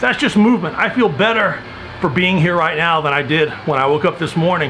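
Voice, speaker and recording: A man's high-pitched voice at a moderate pace, with light background noise. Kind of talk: casual vlog chat. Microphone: phone near.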